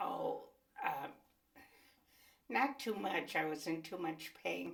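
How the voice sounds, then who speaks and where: A woman speaks very slowly while noticeable background noise plays behind her. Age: 80s+. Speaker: interviewee, mother. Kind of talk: oral history interview.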